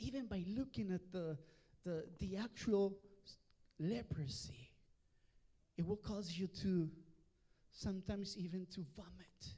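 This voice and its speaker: Speaking at a very slow pace with a Mexican accent, the voice has a dark, mellow tone, ordinary pitch variation, and long, frequent pauses. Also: man, high pitch for a man. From Mexico. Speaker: pastor. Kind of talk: bilingual sermon. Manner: switches between Spanish and English, repeats words.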